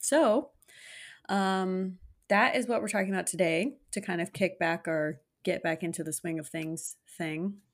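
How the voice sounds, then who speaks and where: A woman with an ordinary speaking voice at a medium pitch, on a very clean recording with a silent background. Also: ordinary pitch variation, fairly slow pace. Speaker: podcast co-host. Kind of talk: casual chat podcast banter.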